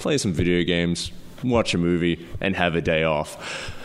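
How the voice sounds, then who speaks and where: A man talks with an Australian accent. His pace is moderate and his pitch variation ordinary. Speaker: filmmaker. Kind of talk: casual chat. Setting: living room, echoey.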